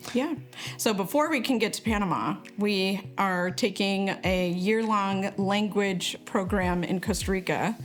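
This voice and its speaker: Over music in the background, a woman speaks at a medium pitch and fairly slow pace with ordinary pitch variation. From born in Colombia, adopted by missionaries, lost Spanish at five. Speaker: missionary couple member, youth ministry. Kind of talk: casual video announcement.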